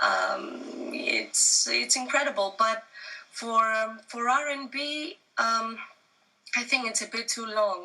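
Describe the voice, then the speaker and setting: At a very slow pace, a woman with a fairly high pitch speaks in a Greek accent. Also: ordinary pitch variation. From Greece. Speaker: singer-songwriter. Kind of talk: interview.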